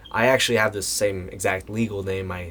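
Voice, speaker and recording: Over noticeable background noise, a man talks at a fairly low pitch and a moderate pace. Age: 20s. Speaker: voice actor. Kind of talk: casual talk to camera.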